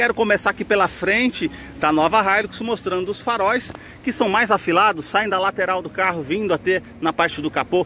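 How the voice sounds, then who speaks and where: Projecting a raised voice at a moderate pace, a man shows ordinary pitch variation, with light background noise and a dry sound that has no echo. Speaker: car channel host. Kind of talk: product walkaround commentary. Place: street. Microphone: phone near.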